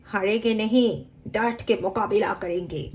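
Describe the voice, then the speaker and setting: A woman puts on a character voice. She pitches it fairly high. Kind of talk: mimicry, Hindi-language filmi style dialogue. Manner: dramatic, defiant.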